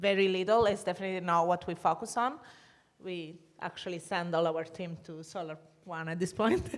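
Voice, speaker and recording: A woman with an Italian accent speaks with ordinary pitch variation. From Italy. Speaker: energy sustainability consultant. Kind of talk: panel discussion. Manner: halting.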